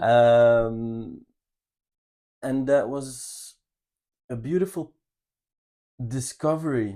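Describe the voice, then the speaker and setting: The voice has a dark, mellow tone and a slight Belgian accent, with ordinary pitch variation. It moves at a very slow pace with long, frequent pauses. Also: man, medium pitch for a man. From Belgium, Ghent. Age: 30s. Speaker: channel co-host. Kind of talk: personal life story. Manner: halting, with fillers.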